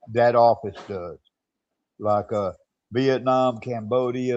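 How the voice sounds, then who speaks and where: A man with a Southern US accent speaks at a fairly slow pace in a medium-pitched voice, his tone dark and mellow and his intonation fairly even. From US South, Mississippi. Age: 60s. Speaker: expat commentator on a live stream. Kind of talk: casual chat.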